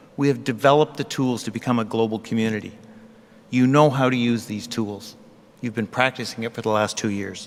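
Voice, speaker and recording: Over music in the background, a man speaks at a fairly quick pace with a medium pitch and fairly even intonation. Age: 60s. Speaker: convocation speaker. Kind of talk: convocation address.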